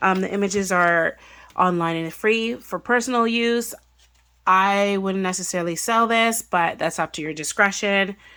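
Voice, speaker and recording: A woman's bright, sharp voice at medium pitch, moderate in pace with ordinary pitch variation, in a very clean recording with a silent background. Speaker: craft YouTuber. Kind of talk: tutorial. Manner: casual, lots of fillers.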